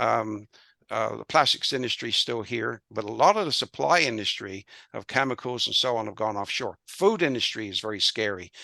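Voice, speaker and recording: A man talks at a fairly quick pace with a West Country accent, his tone bright and sharp with some vocal fry. His pitch varies normally, and the recording is very clean over a silent background. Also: medium pitch for a man. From England, Bristol. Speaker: business consultant and author. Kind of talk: interview. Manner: halting, many fillers.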